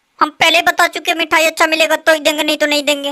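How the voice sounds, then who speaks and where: A cartoonish character voice races along at a very fast pace. Its intonation is monotone and flat, and its loudness stays very even. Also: woman, extremely high pitch for a woman. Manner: evasive, grumbling.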